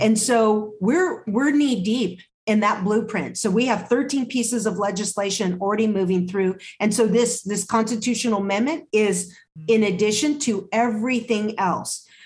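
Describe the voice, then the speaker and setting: In an American accent, a woman with a fairly high, somewhat breathy voice speaks at a moderate pace with ordinary pitch variation and very even loudness. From California Central Valley. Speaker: nonprofit health organization CEO. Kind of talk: interview.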